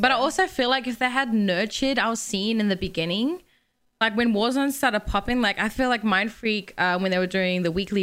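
A woman speaks in an Australian accent. Her pitch is medium and her pace moderate. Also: very clean recording, silent background. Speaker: gaming podcast co-host, competitive gamer. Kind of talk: casual chat.

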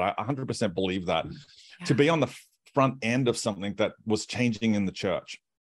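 With an Australian accent, a man talks at a moderate pace, his pitch swinging very widely. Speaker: pastor and author. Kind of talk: casual interview.

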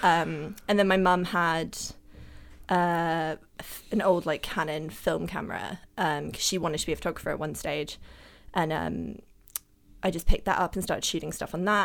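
A woman with a London accent speaks fairly quickly with vocal fry and a fairly low pitch. Her intonation is fairly even, on a very clean recording with a silent background. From Germany, raised London. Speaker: photographer. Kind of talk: casual interview chat. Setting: studio.

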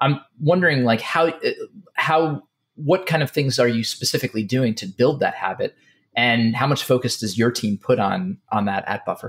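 This is a normal speaking voice from a man. He talks at a moderate pace with lively intonation. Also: medium pitch for a man. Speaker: podcast co-host. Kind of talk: interview conversation.

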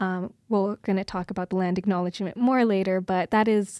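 A woman with a Canadian Prairie accent speaks at a medium pitch with fairly even intonation and a dark, mellow tone. The recording is very clean, with a silent background and a dry, close sound with no echo. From rural Saskatchewan, near Kindersley. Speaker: student podcast producer. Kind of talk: casual panel discussion.

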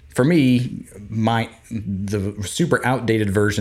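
This man has an unremarkable speaking voice with a fairly low pitch. His pitch varies in an ordinary way. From Florida. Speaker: podcast co-host. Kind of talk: casual chat.

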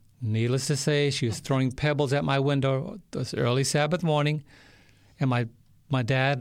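In a very clean recording with a silent background, a man talks at a moderate pace in an unremarkable speaking voice of medium pitch with ordinary pitch variation. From US Northeast, New York City. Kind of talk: interview testimony. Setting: studio.

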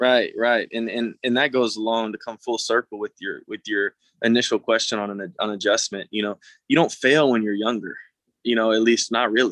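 Speaking with an American accent, a man at medium pitch keeps a fairly even intonation and a moderate pace in a dry, close sound with no echo. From North Texas (Mount Pleasant, Prosper). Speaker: professional baseball player. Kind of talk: casual interview. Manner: halting, many repeated words.

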